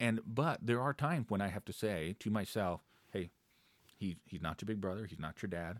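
A man with a normal speaking voice talks at a moderate pace and fairly low pitch with lively intonation, in a very clean recording with a silent background and a dry, close sound with no echo. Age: 30s. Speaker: co-pastor. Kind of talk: casual chat.

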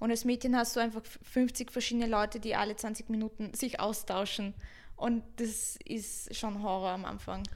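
The speaker keeps a moderate pace. The intonation is monotone and flat. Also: woman, fairly high pitch for a woman. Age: 20s. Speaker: Twitch streamer. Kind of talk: casual chat. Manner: loud.

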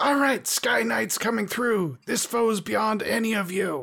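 Someone does a raspy, put-on character voice at a fairly high pitch and a moderate pace. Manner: boastful, swaggering, rhyming.

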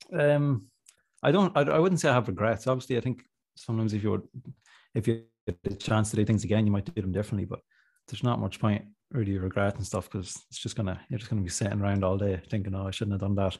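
Somewhat breathy speech comes at a very fast pace in a very clean recording with a silent background. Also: man, fairly low pitch for a man, ordinary pitch variation. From Ireland, County Monaghan. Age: 20s. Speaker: rapper. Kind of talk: casual interview chat.

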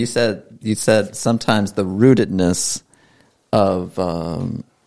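This man has an American accent and a fairly low pitch. He uses a normal speaking voice with ordinary pitch variation. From Maryland. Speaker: podcast host. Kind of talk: casual chat.

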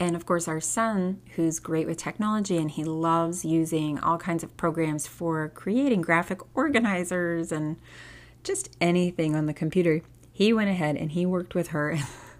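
Soft-spoken and at a moderate pace, a woman talks at a fairly low pitch with ordinary pitch variation, recorded very cleanly over a silent background. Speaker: homeschooling podcast host, former teacher. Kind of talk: casual solo podcast monologue. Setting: home recording at night.

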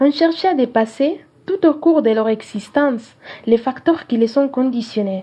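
A woman's high-pitched voice rises and falls with lively intonation at a fairly slow pace. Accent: Spanish. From Peru, Cajamarca. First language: Spanish (speaking French). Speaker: student film critic. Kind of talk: scripted film review reading.

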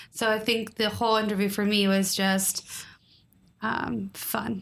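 In a medium-pitched voice, a woman speaks at a fairly slow pace, her loudness very even and her intonation monotone and flat. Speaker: podcast co-host. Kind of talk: casual chat. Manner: clear, trained delivery without mumbling.

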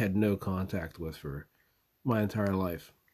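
This man talks with ordinary pitch variation. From US Southwest. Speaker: podcaster. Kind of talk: eulogy, personal tribute. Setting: away from home, makeshift recording.

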